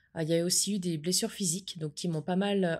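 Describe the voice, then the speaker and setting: In a dark, mellow tone, a woman of medium pitch speaks at a moderate pace with fairly even intonation on a very clean recording with a silent background. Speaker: podcaster and entrepreneur. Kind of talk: casual podcast monologue.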